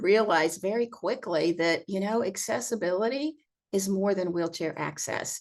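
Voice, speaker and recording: With a plain, everyday voice, a woman is talking. Her medium pitch shows ordinary pitch variation. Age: 60s. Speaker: accessible vacation rental owner and advocate. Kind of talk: casual interview conversation.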